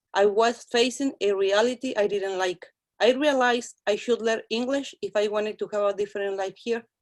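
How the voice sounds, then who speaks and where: A woman speaks with a Mexican accent. Her pitch sits fairly high. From Mexico, Guanajuato. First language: Spanish. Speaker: ESL instructor. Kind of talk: speech. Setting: video call.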